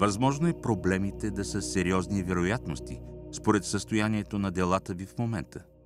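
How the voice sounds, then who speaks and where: A man's very deep, low voice at a moderate pace, with music in the background. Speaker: actor, narrator. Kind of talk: audiobook reading of spiritual text.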